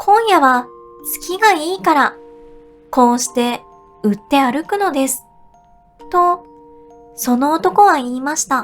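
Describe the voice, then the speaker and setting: Over music in the background, a woman speaks at a very slow pace with long, frequent pauses. Her high voice has a gentle tone and very wide pitch swings. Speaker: VTuber, singer and idol streamer. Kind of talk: sleep story, audiobook-style reading. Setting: studio, with music-box and wave-sound background. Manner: soft, gentle, calming.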